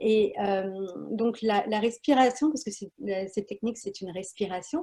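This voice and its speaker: Her voice sits fairly high and has a dark, mellow tone with some breathiness. The woman talks at a moderate pace against a quiet background. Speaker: wellness practitioner. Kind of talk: guided breathing instruction. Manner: hesitant, many fillers.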